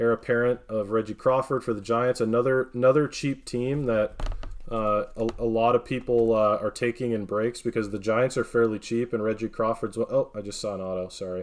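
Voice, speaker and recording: Here is a man with an American accent and a normal speaking voice. His medium pitch carries fairly even intonation, and he hardly pauses. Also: fairly quick pace. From northern Wisconsin, US. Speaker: card breaker streamer. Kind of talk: live stream card opening commentary.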